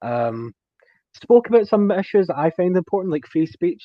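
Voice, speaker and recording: A man with a Scottish accent speaks at a high pitch. His intonation is lively and his pace moderate. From Scotland. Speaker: technology specialist, podcast guest. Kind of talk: casual chat.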